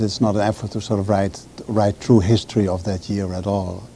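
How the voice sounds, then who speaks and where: Over noticeable background noise, a man speaks with a fairly low pitch and fairly even intonation. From Netherlands, Amsterdam. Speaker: author. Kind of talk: TV interview.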